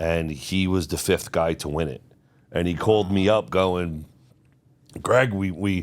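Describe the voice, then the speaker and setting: A man with a New York accent speaks at a fairly slow pace in a very deep, low voice, with ordinary pitch variation and long, frequent pauses. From New York City. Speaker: real estate agent. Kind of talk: casual podcast chat.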